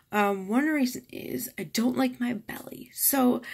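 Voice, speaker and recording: Her voice swings very widely in pitch, and this woman speaks with vocal fry. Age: 30s. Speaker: vlogger and breast cancer survivor. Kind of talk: personal vlog explanation. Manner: casual, with fillers.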